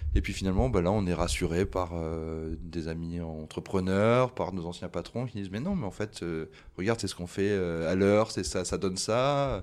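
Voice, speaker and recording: In a very clean recording with a silent background, a man with a very deep, low pitch speaks at a fairly slow pace with lively intonation. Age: 40s. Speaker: bar franchise co-founder. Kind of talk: interview.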